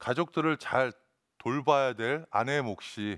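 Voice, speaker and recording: The man's voice sits at a medium pitch, and the background stays quiet. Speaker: restaurant franchise CEO. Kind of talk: motivational talk. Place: studio. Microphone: headset.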